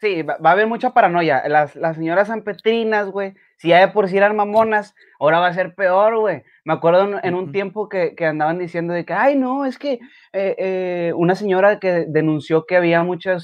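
A man with a high voice talks at a fairly quick pace, with ordinary pitch variation. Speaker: live-stream podcast host. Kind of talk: casual chat.

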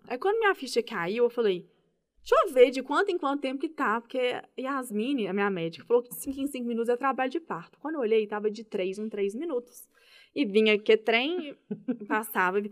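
A woman speaks at a fairly high pitch with lively intonation and big swings in loudness. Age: 30s. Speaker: public servant and mother. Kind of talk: casual interview chat. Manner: fast, talkative.

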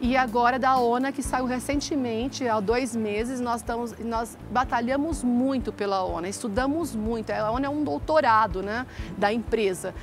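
In a normal speaking voice, a woman talks at a fairly high pitch and a moderate pace. She leaves hardly any pauses, and her pitch varies in an ordinary way. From interior of São Paulo state (Ituverava). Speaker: physician and business owner. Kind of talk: interview.

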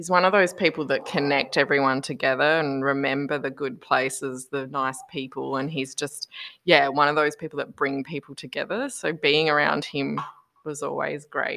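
At a moderate pace, a woman with a very deep, low pitch and a bright, sharp tone speaks with fairly even intonation. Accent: Australian. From Australia. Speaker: podcast guest. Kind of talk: casual chat. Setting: video call.

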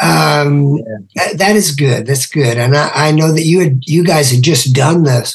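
Somewhat breathy, a man speaks at a fairly slow pace with very even loudness. His pitch is fairly high, with ordinary pitch variation. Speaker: podcast host and musician. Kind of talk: casual interview. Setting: video call.

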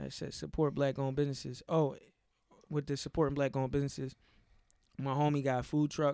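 A man talks very fast at a fairly high pitch, with long, frequent pauses and monotone, flat intonation. His tone is dark and mellow, in a very clean recording with a silent background. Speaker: podcast host. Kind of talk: casual chat.

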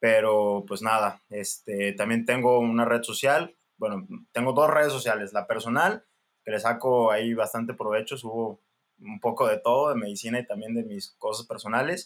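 At a moderate pace, a man with a plain, everyday voice talks in a medium pitch with ordinary pitch variation. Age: 20s. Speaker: general practitioner doctor. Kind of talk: casual interview.

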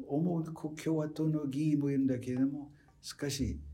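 In an English accent, a man with a dark, mellow tone sounds somewhat breathy against audible room echo. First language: English (speaking Japanese). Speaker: professor emeritus of political science. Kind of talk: lecture.

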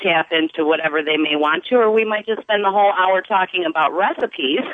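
This is a woman talking. Her pitch varies in an ordinary way. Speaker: caller, hairstylist. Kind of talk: call-in conversation. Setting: phone call. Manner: bubbly.

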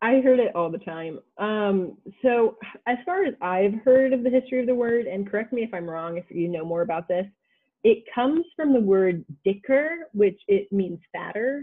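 The speaker, with an American accent, keeps a moderate pace. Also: woman. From United States. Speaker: college student. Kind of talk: interview. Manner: hesitant, many filler words.

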